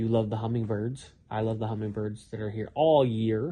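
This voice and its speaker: A man's voice, somewhat breathy. His pitch is medium. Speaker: YouTuber. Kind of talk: casual chat. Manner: slurs speech at times.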